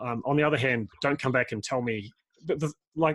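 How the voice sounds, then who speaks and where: The recording is very clean, with a silent background. The speech has an Australian accent and ordinary pitch variation. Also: man. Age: 40s. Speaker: permaculture designer and podcast host. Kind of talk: casual interview conversation. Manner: halting, many repetitions and fillers.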